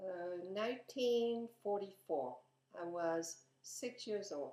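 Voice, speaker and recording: Speaking at a very slow pace, a woman has a medium pitch, a dark, mellow tone and lively intonation. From France. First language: French. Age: 70s. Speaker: interviewee. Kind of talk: interview.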